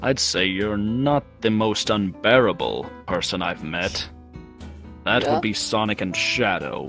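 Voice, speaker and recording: Over clear music in the background, someone uses a put-on character voice at a fairly slow pace. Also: man, fairly low pitch for a man. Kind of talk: roleplay character acting. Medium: machinima. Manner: composed, formal, condescending yet warming.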